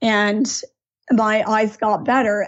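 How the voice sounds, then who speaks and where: Here a woman uses a plain, everyday voice, fairly high in pitch. She speaks at a fairly slow pace with ordinary pitch variation. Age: 50s. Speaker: art teacher. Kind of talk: interview, personal story.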